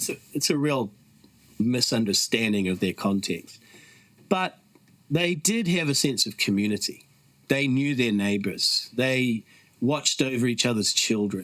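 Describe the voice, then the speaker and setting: With long, frequent pauses, a man talks at a fairly slow pace, using lively intonation at a medium pitch. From New Zealand. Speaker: author and activist, founder of a mission movement. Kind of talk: podcast interview.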